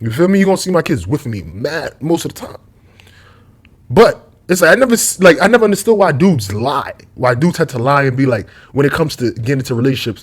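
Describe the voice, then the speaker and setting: A man's fairly high, somewhat breathy voice at a very fast pace, with very wide pitch swings. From New York, Brooklyn. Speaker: YouTube commentator. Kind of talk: casual monologue vlog. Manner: rambling, tangential.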